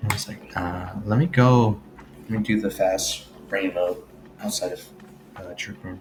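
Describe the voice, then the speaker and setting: Quiet and fairly low in pitch, a man talks at a moderate pace with ordinary pitch variation over noticeable background noise. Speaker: gaming video creator. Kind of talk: casual commentary on teambuilding. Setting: home recording, late at night. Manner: quiet, low voice.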